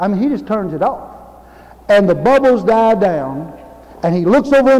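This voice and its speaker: Speaking fairly quickly, a man talks with an American accent. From Louisiana, United States. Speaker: Baptist preacher. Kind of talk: sermon. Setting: church. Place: church.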